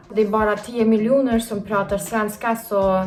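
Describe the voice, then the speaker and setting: A woman with a Kyrgyz accent speaks at a fairly slow pace in a fairly high pitch, her intonation flat and monotone. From Kyrgyzstan. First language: Kyrgyz (speaking Swedish). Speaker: YouTuber. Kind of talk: casual vlog. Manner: hesitant with many fillers.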